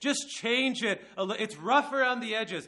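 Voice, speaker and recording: Against a quiet background, a man uses a raised, projected voice at an extremely high pitch. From Mexico. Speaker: preacher. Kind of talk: sermon. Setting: church service with audience.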